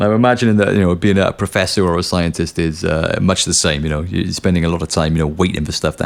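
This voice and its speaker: Over noticeable background noise, a man talks at a very fast pace in a very deep, low pitch with ordinary pitch variation. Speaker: podcast host and musician. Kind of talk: podcast outro monologue. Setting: home studio. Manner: casual, animated; low and sleepy, slurry.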